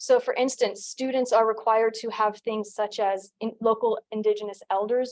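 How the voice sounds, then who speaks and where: An unremarkable speaking voice with an American accent at a fairly quick pace. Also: woman. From United States. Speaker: doctoral candidate, anthropologist. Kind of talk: dissertation defense presentation. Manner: formal.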